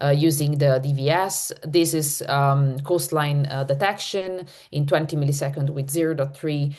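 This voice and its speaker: Very deep, low female voice at a moderate pace, with audible room echo. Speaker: neuromorphic computing researcher. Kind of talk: conference talk.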